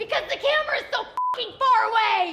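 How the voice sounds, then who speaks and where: A squeaky, put-on character voice at an extremely high pitch runs at a moderate pace over light background noise. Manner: yelling.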